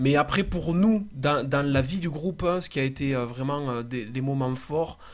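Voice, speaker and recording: A man with a plain, everyday voice and fairly high pitch talks at a fairly slow pace with hardly any pauses and ordinary pitch variation. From southern France, Castres (Tarn). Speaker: singer-songwriter in a band. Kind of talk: casual radio interview.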